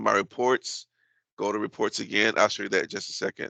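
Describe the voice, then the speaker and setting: A man's fairly low voice with vocal fry, bright and sharp in tone, with ordinary pitch variation. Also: quiet background. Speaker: grant administrator running software training. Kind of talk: tutorial. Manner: fast.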